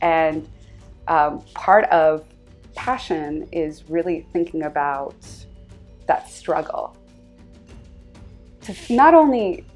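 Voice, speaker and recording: Music plays in the background. A woman speaks at a fairly low pitch with ordinary pitch variation. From Southern California, USA. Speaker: scholar, journalist. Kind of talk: interview answer.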